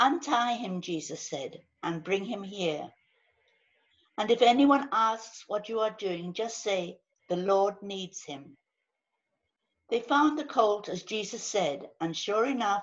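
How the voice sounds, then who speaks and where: Against a quiet background, a woman speaks very slowly with lively intonation and long, frequent pauses. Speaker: scripture reader. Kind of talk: scripture reading. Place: home room. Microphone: video call.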